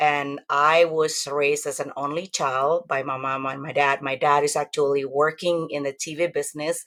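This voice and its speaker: In an Indonesian accent, a woman with a very deep, low pitch speaks with fairly even intonation. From Indonesia (Javanese). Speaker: testimony guest. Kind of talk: testimony interview.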